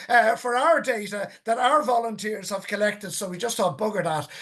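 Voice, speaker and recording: Pitched high and moving at a fairly quick pace, this man's voice shows ordinary pitch variation. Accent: Irish. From Ireland, County Wicklow. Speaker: whale and dolphin conservationist. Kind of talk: webinar Q&A. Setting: online webinar.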